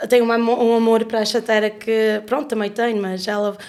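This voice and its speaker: A woman talks at a moderate pace with a fairly high pitch. Her intonation is monotone and flat. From Canada (Leamington, Ontario). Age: 30s. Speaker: podcast guest, artist. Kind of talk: casual interview conversation. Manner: halting, many fillers and self-corrections.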